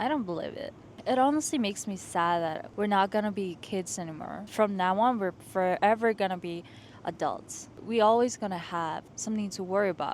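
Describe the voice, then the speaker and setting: The speaker has a non-native accent. The recording is very clean, with a silent background. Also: woman, medium pitch for a woman, ordinary pitch variation, moderate pace. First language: not English. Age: 20s. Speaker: lifestyle vlogger. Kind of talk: casual vlog monologue. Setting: outdoors on a rooftop. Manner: animated.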